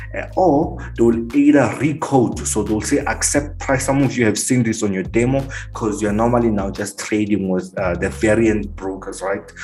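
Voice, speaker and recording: A man with fairly low pitch speaks at a moderate pace with lively intonation and hardly any pauses. Music plays in the background and the room has audible echo. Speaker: forex trading teacher. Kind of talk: tutorial.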